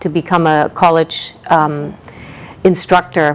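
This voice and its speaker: A woman speaks at a fairly slow pace with a slight German accent. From East Germany. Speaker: ESL college instructor. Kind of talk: interview. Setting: TV studio.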